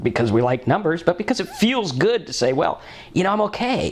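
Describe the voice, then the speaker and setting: With very wide pitch swings, a man uses an animated tone while noticeable background noise plays around him. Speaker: sober living vlogger, recovering alcoholic. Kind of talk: personal testimony monologue.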